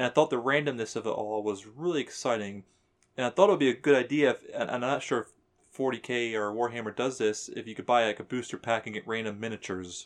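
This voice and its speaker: Speaking at a very fast pace, the man has a medium pitch. His pitch varies in an ordinary way. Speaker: gamer friend. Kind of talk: casual chat.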